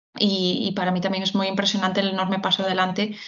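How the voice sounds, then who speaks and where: A woman speaks in a medium pitch with a somewhat breathy voice. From Galicia, Spain. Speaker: HR recruitment executive. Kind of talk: interview. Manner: halting.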